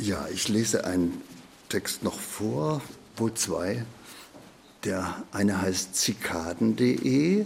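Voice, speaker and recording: The speech moves at a very slow pace, broken by long, frequent pauses, and the intonation is lively. Noticeable background noise runs underneath. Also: man, fairly low pitch for a man. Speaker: poet and retired radio literature editor. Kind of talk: interview; poetry reading. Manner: free-flowing, unscripted.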